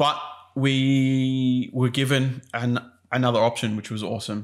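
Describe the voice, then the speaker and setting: An Australian accent marks this man's speech. He talks fairly slowly in a flat, monotone way. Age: 30s. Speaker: podcast co-host, business owner. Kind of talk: casual chat.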